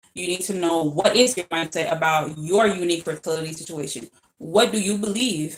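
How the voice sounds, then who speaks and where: Music plays in the background. Over it, a woman speaks in an animated tone. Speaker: fertility coach. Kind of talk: informal talk-to-camera lecture. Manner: fast; animated, repetitive fillers.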